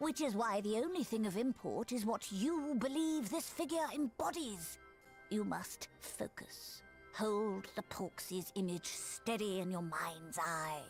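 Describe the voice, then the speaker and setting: A woman in a put-on character voice at medium pitch and a fairly slow pace, with clear music in the background. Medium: video game. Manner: measured, formal.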